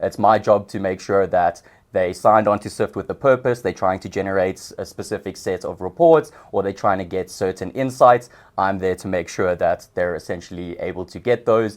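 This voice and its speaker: Speaking at a fairly quick pace with a South African accent, a man with a fairly low pitch shows ordinary pitch variation and big swings in loudness. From South Africa, Johannesburg. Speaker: customer success manager. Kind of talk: podcast interview.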